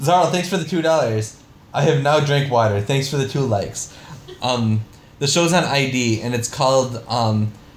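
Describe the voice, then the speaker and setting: Noticeable background noise and audible room echo surround a man speaking at a medium pitch and a moderate pace with ordinary pitch variation. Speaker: streamer. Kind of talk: live stream Q&A reading donations. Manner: loud; halting.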